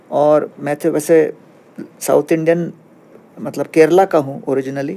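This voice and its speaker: This man's voice sits fairly high. It has a dark, mellow tone. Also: fairly even intonation. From India, Bhilai (Kerala family). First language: Tamil and Malayalam (speaking Hindi). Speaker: spiritual teacher. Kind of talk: podcast interview. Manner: calm explanatory.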